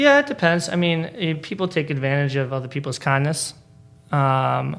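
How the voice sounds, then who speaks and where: With a Boston accent, a man speaks at a moderate pace in a fairly high pitch, keeping his intonation fairly even. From Boston area (Braintree), Polish immigrant parents. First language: Polish. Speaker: stand-up comedian. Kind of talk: casual interview chat. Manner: halting, lots of fillers and repeats.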